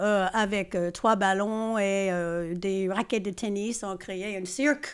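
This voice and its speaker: Very slowly, a woman speaks at medium pitch with fairly even intonation. The recording is very clean, with a silent background. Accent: English. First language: English (speaking French). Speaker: choreographer and stage director. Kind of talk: podcast interview. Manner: hesitant, many fillers.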